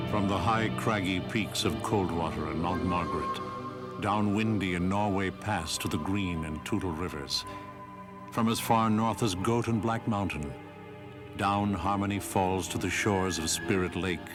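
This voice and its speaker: Music plays in the background as a man talks at a fairly slow pace in a fairly low pitch with ordinary pitch variation. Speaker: documentary narrator. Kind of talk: documentary narration.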